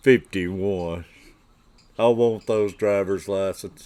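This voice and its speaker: A man speaks with a Southern US accent and a fairly low pitch. His pace is very slow. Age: 60s. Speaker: fishing livestreamer. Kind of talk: casual livestream chat. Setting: livestream.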